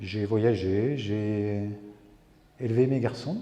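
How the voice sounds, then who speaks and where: Dark, mellow tone, somewhat breathy. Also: man. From France, rural farming background. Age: 60s. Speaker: photographer, retired army officer. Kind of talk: interview. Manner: hesitant, many fillers.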